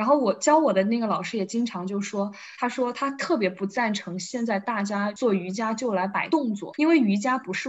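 Her fairly high voice is a normal speaking voice, moving at a moderate pace with lively intonation. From Wuhan, China. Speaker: podcast guest, friend of host. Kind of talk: casual chat.

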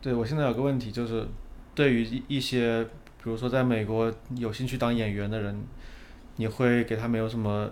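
Flat, monotone speech from a man at medium pitch and a moderate pace. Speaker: podcast host. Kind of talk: casual interview.

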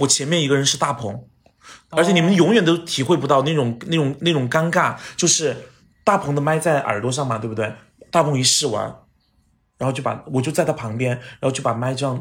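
At a fairly quick pace, the voice sounds somewhat breathy and animated in tone. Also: man, fairly high pitch for a man, ordinary pitch variation. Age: 30s. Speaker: TV host and actor. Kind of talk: casual chat. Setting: at his home.

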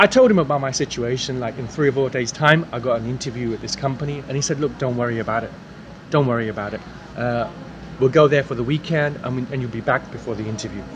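A man with an East Anglian accent and a medium-pitched voice, talking at a very fast pace with ordinary pitch variation, over noticeable background noise. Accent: British English, East Anglian. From England, King's Lynn, Norfolk. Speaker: mock exam candidate, native speaker. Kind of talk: mock speaking exam answers. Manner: hesitant, many fillers.

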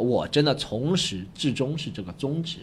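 A man's medium-pitched voice, animated in tone, with lively intonation. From Shanghai. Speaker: stand-up comedian. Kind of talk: casual interview chat. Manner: animated, joking.

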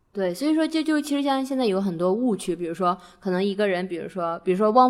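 Her pace is very fast and her pitch medium. This woman's voice swings very widely in pitch. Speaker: podcast host. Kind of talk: casual chat.

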